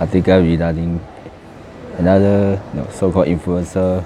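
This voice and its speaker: Over noticeable background noise, a man with a very deep, low pitch speaks at a moderate pace in a flat monotone. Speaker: video blogger. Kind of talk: casual vlog commentary. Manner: casual, laughs often.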